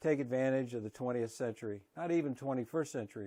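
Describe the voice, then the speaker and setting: Over a quiet background, a man speaks in a dark, mellow tone. His pitch variation is ordinary. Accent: American. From Kentucky. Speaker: concerned homeowner. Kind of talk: prepared public statement to camera.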